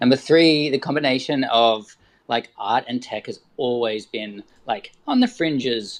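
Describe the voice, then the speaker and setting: A man keeps a moderate pace in an Australian accent. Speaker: artist and photographer. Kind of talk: casual discussion.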